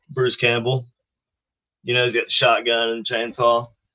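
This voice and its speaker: A man with a South Carolina accent at a fairly quick pace. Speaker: paranormal equipment builder. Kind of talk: casual chat on live podcast.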